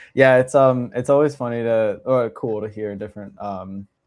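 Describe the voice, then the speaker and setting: The man speaks at a medium pitch with fairly even intonation. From Los Angeles and Bucks County, Pennsylvania. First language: Russian. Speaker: podcast co-host, vegan mentor. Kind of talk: casual chat.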